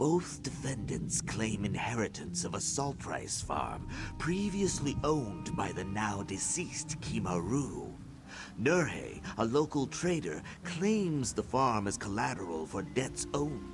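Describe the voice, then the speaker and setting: Over loud music in the background, a man puts on a character voice at a medium pitch and a fairly slow pace. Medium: video game. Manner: hesitant, stammering.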